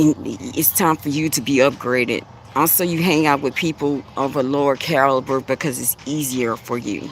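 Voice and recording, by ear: At a moderate pace, a woman speaks with fairly even intonation and an extremely low pitch.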